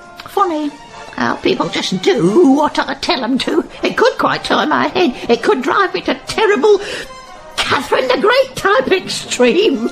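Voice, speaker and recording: A woman's high voice with very wide pitch swings at a moderate pace, with clear music in the background. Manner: gushing, sly, theatrical.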